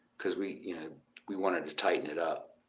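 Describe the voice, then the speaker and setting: A loud man with an American accent at a moderate pace. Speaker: musician. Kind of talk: casual live stream chat. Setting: motel room.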